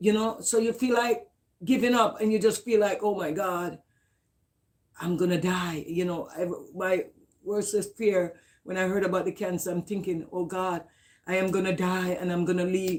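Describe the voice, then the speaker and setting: A woman speaks at a moderate pace and medium pitch, with fairly even intonation. Her speech has long, frequent pauses. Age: 60s. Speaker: mother of an incarcerated daughter, cancer patient. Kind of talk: interview.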